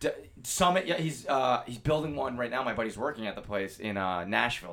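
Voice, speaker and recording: Talking at a fairly quick pace, a man with a medium pitch makes very wide pitch swings. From Rhode Island. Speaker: comedian and golf caddy. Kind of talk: casual interview chat. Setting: studio, sitting on the floor.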